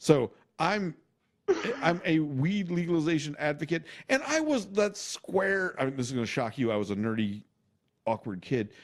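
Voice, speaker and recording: With long, frequent pauses, a man with a fairly high pitch swings very widely in pitch. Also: moderate pace. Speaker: podcast host and engineer, hobby comedian. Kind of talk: casual chat.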